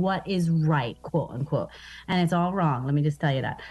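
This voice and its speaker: Music plays behind a woman with an American accent. Her voice sits fairly low with ordinary pitch variation. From Baltimore, Maryland, US. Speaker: comedian. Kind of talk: casual radio interview. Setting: video call from Baltimore. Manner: animated, joking.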